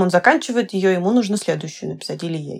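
Here is a woman with an ordinary speaking voice, pitched medium and lively in intonation. The recording is very clean, with a silent background. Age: 20s. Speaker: visual novel scriptwriter. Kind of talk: casual podcast interview.

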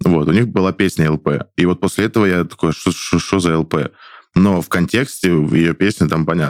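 A man's very deep, low voice with ordinary pitch variation, moderate pace, and dry, close sound free of echo. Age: 20s. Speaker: stage actor and blogger. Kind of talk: casual chat. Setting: studio.

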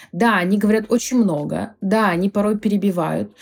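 This woman speaks at a medium pitch. Her pitch variation is ordinary. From Krasnodar, southern Russia. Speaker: photographer. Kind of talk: casual chat.

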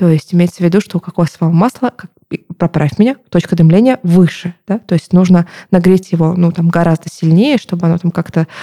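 Very fast and somewhat breathy, a woman speaks in a fairly low pitch with a dark, mellow tone and ordinary pitch variation, the sound dry and close with no echo. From southern Russia, Novorossiysk, Krasnodar Krai. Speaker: marketer and podcast co-host. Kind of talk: casual chat. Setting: studio.

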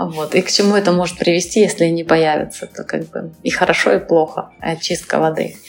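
A woman's fairly low voice at a fairly quick pace, with ordinary pitch variation, hardly any pauses and noticeable background noise. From Crimea, Kerch. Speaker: interior designer, studio founder. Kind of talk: interview.

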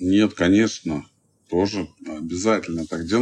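At a fairly slow pace, a man talks with a very deep, low pitch and lively intonation. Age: 50s. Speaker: entrepreneur, fast food chain founder. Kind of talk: interview. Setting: studio.

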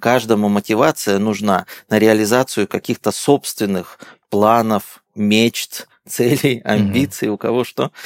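A man with an unremarkable speaking voice speaks at a fairly slow pace with a fairly low pitch, fairly even intonation and very even loudness, in a very clean recording with a silent background and a dry, close sound with no echo. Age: 40s. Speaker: company founder, business consultant. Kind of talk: interview. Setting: studio.

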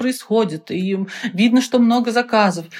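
Hers is a plain, everyday voice, a woman's at fairly high pitch, with ordinary pitch variation and a moderate pace. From Russia, Penza. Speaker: business founder. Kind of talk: interview.

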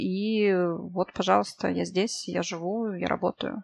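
A woman's unremarkable speaking voice, medium in pitch with ordinary variation, over a quiet background. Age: 30s. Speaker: project manager. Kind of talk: casual chat.

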